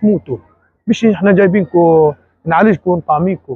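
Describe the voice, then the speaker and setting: A man talks at a moderate pace over a quiet background. The sound is dry, with no echo. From Gaza, Palestine; Palestine. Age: 30s. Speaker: released detainee. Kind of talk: testimony. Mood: distressed, indignant. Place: hall. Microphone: phone near.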